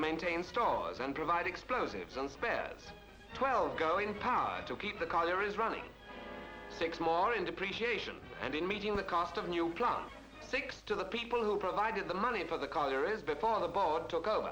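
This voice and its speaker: Raising and projecting his voice over music in the background, a man speaks at a high pitch and moderate pace with ordinary pitch variation. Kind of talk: newsreel narration.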